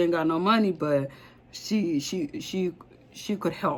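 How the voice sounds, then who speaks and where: Ordinary pitch variation marks this woman's speech. Her pace is moderate. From Africa. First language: not English. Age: 30s. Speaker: vlogger. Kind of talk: personal vlog. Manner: rambling, halting.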